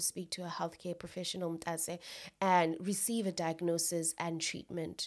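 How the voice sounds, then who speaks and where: This woman has an unremarkable speaking voice, pitched fairly low. She talks at a fairly quick pace. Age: 20s. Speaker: podcast host. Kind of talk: solo educational podcast talk. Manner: casual, with laughter.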